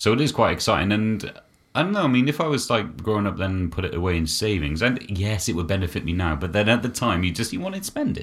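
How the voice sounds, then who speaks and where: The speech races at a very fast pace with lively intonation. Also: man, fairly low pitch for a man. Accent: British. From UK. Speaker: podcast co-host. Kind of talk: casual chat.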